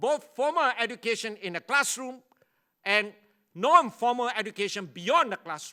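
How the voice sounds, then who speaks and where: A man's raised, projected voice, extremely high in pitch, with a bright, sharp tone, ordinary pitch variation and a moderate pace. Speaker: university leader and education speaker. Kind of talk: conference keynote lecture.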